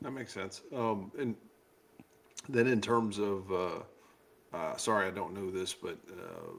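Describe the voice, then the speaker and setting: A man's fairly low voice moves very slowly, with ordinary pitch variation. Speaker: podcast host. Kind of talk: podcast host talk.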